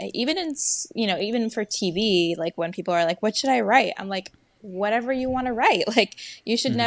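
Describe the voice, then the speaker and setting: A woman talks at a fairly quick pace with lively intonation. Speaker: screenwriter. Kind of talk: casual interview. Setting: video call. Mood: relaxed, reflective. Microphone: earbuds.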